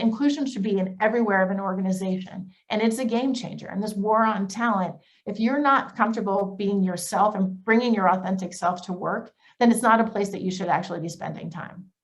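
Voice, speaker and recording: At a fairly quick pace, the speaker sounds somewhat breathy, with pitch shifting in an ordinary way. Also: woman. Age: 40s. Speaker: business executive. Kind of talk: panel presentation. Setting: video call. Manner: fast; animated.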